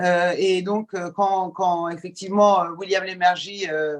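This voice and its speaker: A woman's medium-pitched voice at a very slow pace. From Iran, moved to France at age ten. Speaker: journalist and TV presenter. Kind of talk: podcast interview. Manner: hesitant, many fillers.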